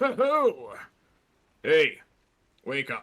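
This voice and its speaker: Doing a put-on character voice, this man pitches his speech extremely high. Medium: actual play. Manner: brusque, impatient.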